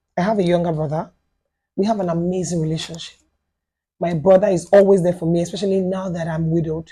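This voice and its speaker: Somewhat breathy and dark, mellow in tone, a woman with a Yoruba accent speaks at a fairly low pitch and fairly quick pace, with fairly even intonation and long, frequent pauses. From Nigeria, Lagos. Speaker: widow sharing life story. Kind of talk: podcast interview testimony. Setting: studio.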